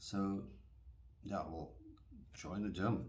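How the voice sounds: A man talks at a slow pace. His pitch is low and his tone slightly mellow.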